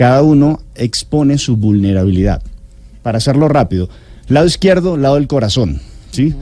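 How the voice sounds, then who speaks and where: A man with a medium-pitched voice speaks with lively intonation and a dark, mellow tone. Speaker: health author and speaker. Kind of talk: interview answering listener questions.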